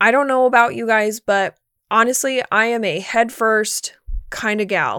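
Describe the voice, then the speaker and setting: Bright and sharp in tone, a woman with a fairly high pitch speaks at a moderate pace in a very clean recording with a silent background. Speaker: fitness coach and podcast host. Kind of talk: pep talk. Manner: earnest, motivational; direct tough-love, encouraging.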